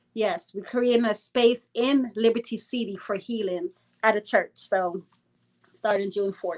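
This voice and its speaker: A woman's fairly high voice with ordinary pitch variation at a fairly slow pace. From Brooklyn, New York (born in Guyana). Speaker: anti-gun-violence activist. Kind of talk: casual interview.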